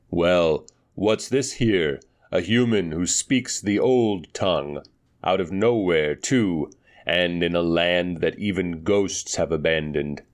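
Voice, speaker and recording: Against a quiet background, a man uses a put-on character voice, very deep and low, at a fairly slow pace. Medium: read story. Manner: genial, wry.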